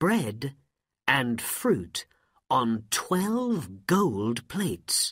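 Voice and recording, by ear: With a quiet background behind it, a passage is read aloud in a natural voice.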